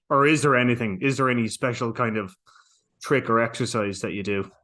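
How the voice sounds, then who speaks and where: An Irish accent with ordinary pitch variation against a quiet background. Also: man. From Ireland. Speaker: entertainment journalist. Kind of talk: interview.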